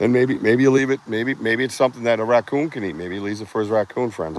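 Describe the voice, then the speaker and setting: With a Boston accent, a man talks at a very fast pace and medium pitch. His pitch varies in an ordinary way over noticeable background noise. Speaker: outdoor livestream host, Bigfoot researcher. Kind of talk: live outdoor vlog commentary. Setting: outdoors in the woods. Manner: casual, rambling, animated.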